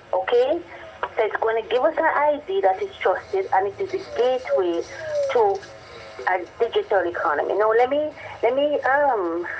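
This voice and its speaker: A woman at a high pitch with very wide pitch swings, a moderate pace and long, frequent pauses amid noticeable background noise. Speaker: government official explaining policy. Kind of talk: radio interview.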